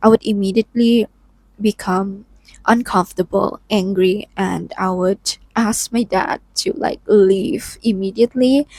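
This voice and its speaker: Speech in a non-native accent with fairly even intonation comes through a very clean recording with a silent background and a dry, close sound with no echo. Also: woman. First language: not English. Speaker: lifestyle vlogger. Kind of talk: personal vlog monologue. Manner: casual, frequent filler 'like'.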